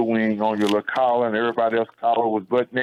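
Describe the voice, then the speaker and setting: A man speaks with an East Texas accent. His pitch is medium. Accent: East Texas Southern American. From Texarkana, Texas. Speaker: army veteran and radio reporter. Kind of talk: personal storytelling on radio. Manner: casual, animated.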